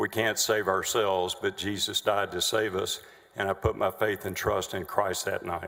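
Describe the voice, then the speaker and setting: This man talks with a Texan accent. His pace is moderate. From Texas, Denton. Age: 60s. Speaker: trial witness. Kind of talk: witness testimony. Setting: legislative chamber courtroom. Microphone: too far from the microphone.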